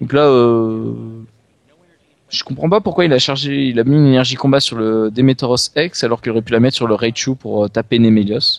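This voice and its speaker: A man at medium pitch, fairly quick pace and ordinary pitch variation, in a dry, close sound with no echo. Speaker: card game commentator. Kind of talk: live commentary. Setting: live stream.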